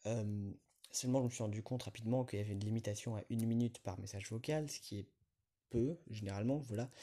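A man speaks very fast at a medium pitch. His tone is dark and mellow, with fairly even intonation. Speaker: podcaster. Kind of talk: solo monologue. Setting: outdoors, walking in a city. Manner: hesitant, many fillers.

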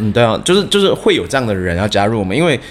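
A man speaks at a very fast pace. There is noticeable background noise. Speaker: chef and fried chicken restaurant founder. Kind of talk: casual interview.

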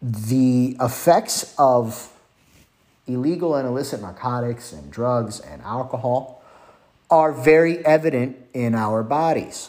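Lively intonation carries a fairly slow pace. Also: man. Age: 30s. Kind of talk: religious teaching monologue. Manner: hesitant with frequent fillers.

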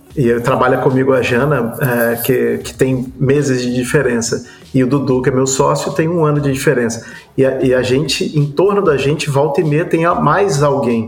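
Audible room echo and noticeable background noise around a man's moderate-paced speech. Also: medium pitch for a man, ordinary pitch variation. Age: 40s. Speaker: advertising professional. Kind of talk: casual chat.

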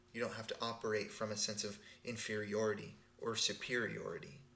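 A man at medium pitch with a bright, sharp tone, monotone, flat intonation and a moderate pace, in audible room echo. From Texas. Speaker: podcast co-host, spiritual teacher. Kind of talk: casual chat.

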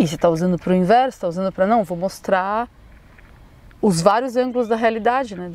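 A woman at a fairly high pitch with lively intonation. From Brazil, São Paulo. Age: 30s. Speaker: educator and artist. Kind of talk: casual interview conversation. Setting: outdoors in a park.

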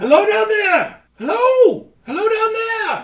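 A man puts on a character voice with an extremely high pitch. He speaks at a fairly slow pace. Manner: calling out, echoing.

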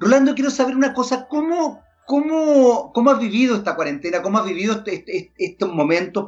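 This man talks at a fairly quick pace. His delivery moves along briskly. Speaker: podcast host. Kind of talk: interview.

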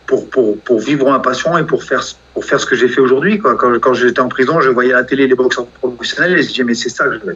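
At a medium pitch with ordinary pitch variation, a man talks in a plain, everyday voice. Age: 40s. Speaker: professional boxer. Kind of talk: interview.

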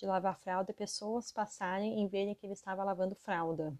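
In an unremarkable speaking voice, a woman talks at a moderate pace and medium pitch, with ordinary pitch variation and a dry, close sound with no echo. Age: 30s. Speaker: podcast host, psychologist and mother. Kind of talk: casual monologue podcast.

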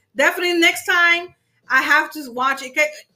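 Bright and sharp in tone, a woman's raised, projected voice moves at a moderate pace. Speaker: livestream interviewer host. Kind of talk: casual interview chat. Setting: Instagram live stream.

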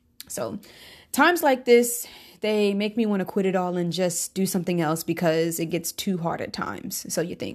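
A woman with an ordinary speaking voice, medium pitch and ordinary pitch variation, at a moderate pace, on a very clean recording with a silent background. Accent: American. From Charlotte, North Carolina (early years New York). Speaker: singer and podcast host. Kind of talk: self-interview monologue, scripted.

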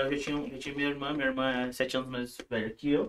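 This man's voice has a bright, sharp tone and a fairly high pitch. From Brazil, moved from Paraíba as a baby. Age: 30s. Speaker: church musician. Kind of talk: casual chat.

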